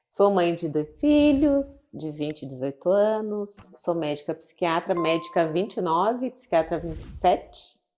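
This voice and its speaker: Music plays behind a woman who speaks at a moderate pace with hardly any pauses. Her pitch swings very widely. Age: 50s. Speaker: psychiatrist. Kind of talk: interview conversation.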